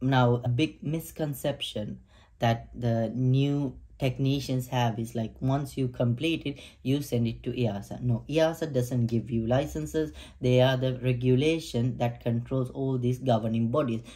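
Against a quiet background, a man talks at a fairly slow pace. His voice is somewhat breathy, with a dark, mellow tone and fairly even intonation. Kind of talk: tutorial. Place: home room.

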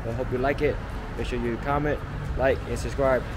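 A man talks at a fairly quick pace with noticeable background noise. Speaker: food vlogger. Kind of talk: casual vlog chat. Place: street. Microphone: phone near.

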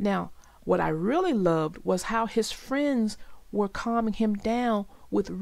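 Lively intonation from someone reading aloud in a natural voice.

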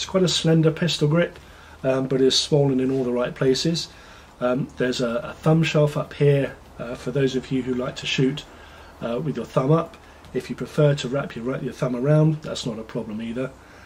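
With light background noise, a man speaks at a moderate pace in a somewhat breathy voice with ordinary pitch variation. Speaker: product reviewer. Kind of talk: product review commentary. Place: garden.

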